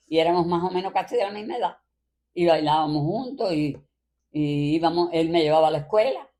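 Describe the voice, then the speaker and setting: Speaking with a Cuban accent, a woman talks at a fairly quick pace in a fairly low, dark, mellow voice. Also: ordinary pitch variation. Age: 80s+. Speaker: grandmother. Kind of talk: interview answer, reminiscing about childhood.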